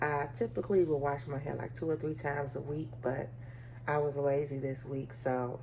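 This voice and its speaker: Moderate pace and fairly even intonation, heard through audible room echo. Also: woman. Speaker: lifestyle vlogger. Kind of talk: casual vlog talk. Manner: talking low.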